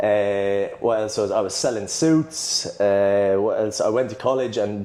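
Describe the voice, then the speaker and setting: In an Irish accent, a man talks at a fairly slow pace and a medium pitch with ordinary pitch variation, and audible room echo is present. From Ireland. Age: 20s. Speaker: personal trainer. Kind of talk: casual chat.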